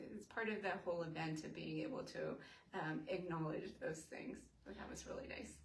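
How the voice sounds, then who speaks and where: With an American accent, a woman talks at a moderate pace and a fairly low pitch with lively intonation. Room echo is audible. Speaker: mental health advocate. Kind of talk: interview. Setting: Facebook live in her office. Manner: halting, many fillers; soft-spoken.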